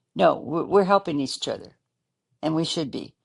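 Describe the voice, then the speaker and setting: A woman speaks with a very deep, low pitch, lively intonation and vocal fry against a quiet background. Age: 70s. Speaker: January 6 participant turned critic. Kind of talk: interview. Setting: podcast.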